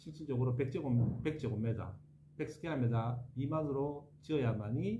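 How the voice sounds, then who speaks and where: Noticeable background noise runs behind a man at a medium pitch. He speaks at a moderate pace with ordinary pitch variation. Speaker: architect. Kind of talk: interview answer.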